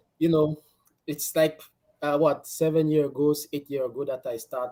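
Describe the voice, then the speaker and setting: A man talks at a moderate pace with a fairly high pitch. His tone is dark and mellow. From Cameroon, French-speaking part. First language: French. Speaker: basketball player. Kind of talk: podcast interview.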